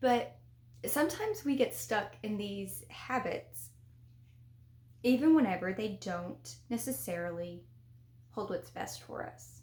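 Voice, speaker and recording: A woman with a Southern US accent talks fairly slowly, with long, frequent pauses and big swings in loudness. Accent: Southern, slurred words, lazy tongue. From US South. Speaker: spiritual development vlogger. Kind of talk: casual vlog talk to camera. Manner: casual, conversational.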